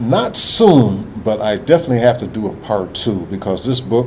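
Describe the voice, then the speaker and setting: A man talks at a moderate pace with ordinary pitch variation, his voice carrying audible room echo and noticeable background noise. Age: 70s. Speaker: co-host and author. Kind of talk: casual chat.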